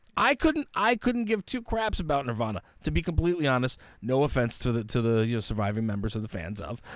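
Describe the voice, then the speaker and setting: A man speaks very fast in an animated, dramatic tone with very wide pitch swings, on a very clean recording with a silent background. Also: medium pitch for a man. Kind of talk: casual chat podcast. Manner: animated, jokey, mock-dramatic intro banter.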